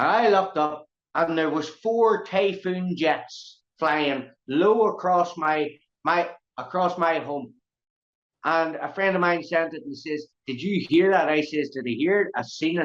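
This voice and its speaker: With a Northern Irish accent, the speaker has an animated tone and a fairly slow pace. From Northern Ireland. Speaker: activist speaking on Irish sovereignty. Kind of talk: impassioned interview talk.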